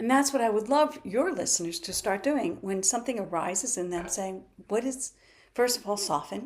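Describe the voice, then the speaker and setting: With lively intonation, a woman's speech proceeds at a moderate tempo. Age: 60s. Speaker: physical therapist and natural health practitioner. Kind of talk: interview. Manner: animated.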